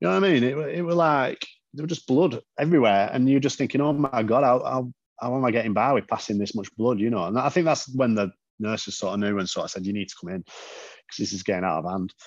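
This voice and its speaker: Speaking very fast with lively intonation, a man talks in a Yorkshire accent. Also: medium pitch for a man. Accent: northern English (Yorkshire-type). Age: 30s. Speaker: patient advocate and car enthusiast. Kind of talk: casual interview.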